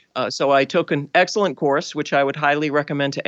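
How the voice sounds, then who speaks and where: The speaker has an American accent, with a quiet background behind the voice. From Boston, US. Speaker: forensic genealogist.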